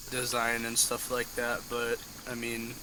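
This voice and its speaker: A man's voice against noticeable background noise. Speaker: podcast host. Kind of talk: casual chat.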